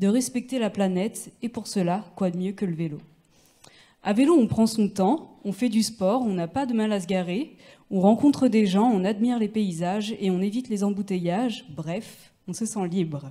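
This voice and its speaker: A woman with a dark, mellow, somewhat breathy tone speaks at medium pitch and a fairly slow pace, with ordinary pitch variation and big swings in loudness. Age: 20s. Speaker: bike mechanic and cycling activist. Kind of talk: reading aloud. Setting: stage with audience.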